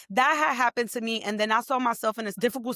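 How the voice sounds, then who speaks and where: In a New York accent, a woman speaks at a fairly high pitch with a bright, sharp, animated tone, on a very clean recording with a silent background and a dry, close sound with no echo. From New York, the Bronx. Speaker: entrepreneur and tech professional. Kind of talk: interview conversation.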